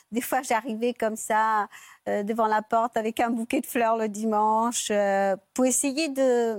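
Very slowly and with fairly even intonation, a woman speaks at a fairly high pitch in a dry, close sound with no echo on a very clean recording with a silent background. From Mauritius. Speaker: guest sharing her love story. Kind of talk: talk show testimony.

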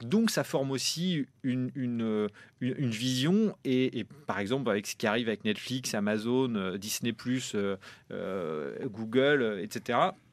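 Against a quiet background, a man talks at a medium pitch. He has an unremarkable speaking voice with lively intonation. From France, Normandy. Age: 30s. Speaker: film producer. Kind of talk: interview.

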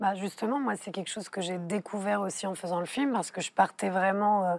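On a very clean recording with a silent background, a woman speaks at a fairly quick pace. She has an unremarkable speaking voice, a medium pitch and fairly even intonation. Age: young. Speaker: filmmaker. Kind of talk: TV panel discussion. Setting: TV studio.

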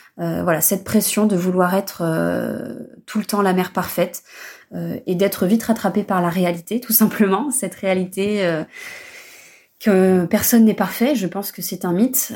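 A woman speaks with fairly even intonation. Hers is a plain, everyday voice. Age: 30s. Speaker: mother giving testimony. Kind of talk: recorded testimony.

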